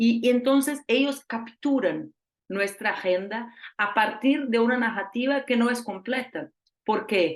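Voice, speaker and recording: A woman speaks in a Portuguese accent at a fairly slow pace and fairly high pitch. Her loudness is very even and her pitch varies in an ordinary way. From Brazil. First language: Portuguese (speaking Spanish). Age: 40s. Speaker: politician and journalist. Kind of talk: lecture. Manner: halting.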